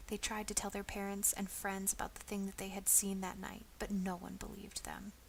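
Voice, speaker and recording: Soft-spoken, a woman talks at a medium pitch. Her pace is moderate. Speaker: ASMR storyteller. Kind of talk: reading aloud.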